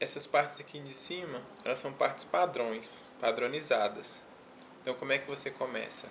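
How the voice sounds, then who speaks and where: A soft-spoken man with a fairly high pitch and ordinary pitch variation talks at a moderate pace. His loudness swings a lot over noticeable background noise. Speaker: web development youtuber. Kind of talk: tutorial. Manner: soft-spoken, speaking very quietly; casual.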